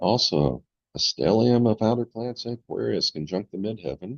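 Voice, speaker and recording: A man talks at a moderate pace with vocal fry. His intonation is lively. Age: 70s. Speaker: astrologer. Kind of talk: tutorial. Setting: screen-share recording.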